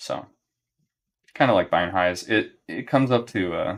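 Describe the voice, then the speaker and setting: A man talks in a relaxed tone. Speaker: trading educator streaming live. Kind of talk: live trading stream commentary.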